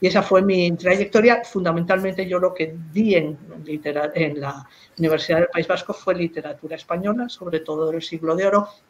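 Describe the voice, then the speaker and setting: Fairly even intonation and a moderate pace carry a plain, everyday voice. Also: woman, fairly low pitch for a woman. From Spain, Madrid. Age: 60s. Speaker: philologist, professor and writer. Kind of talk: interview about her career.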